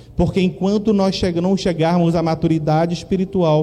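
Against noticeable background noise and audible room echo, a man speaks at a high pitch and fairly slow pace with fairly even intonation. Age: 40s. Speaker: pastor. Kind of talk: sermon.

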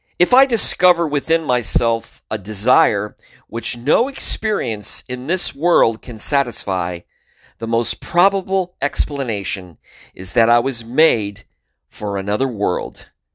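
A man speaks at a fairly slow pace in a medium pitch with a warm tone and very wide pitch swings. The recording is very clean, with a silent background. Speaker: podcast host and author. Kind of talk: literary audiobook reading of own book, earnest and devotional. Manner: measured, warm, sincere; formal, unhurried reading pace.

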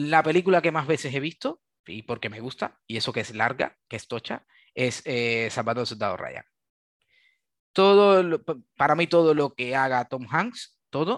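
In a dry, close recording with no echo, a man with a fairly high voice talks at a fairly slow pace, his intonation lively and his loudness swinging widely. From Cuba. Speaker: SAP software developer. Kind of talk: casual interview. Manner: halting, with many repetitions.

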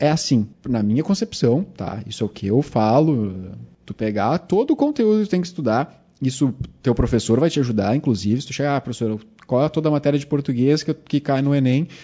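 Fairly high-pitched for a man, his speech comes at a fairly quick pace with lively intonation in an unremarkable speaking voice. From Rio Grande do Sul, Brazil (Cachoeirinha). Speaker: chemistry teacher, podcast host. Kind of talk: casual chat.

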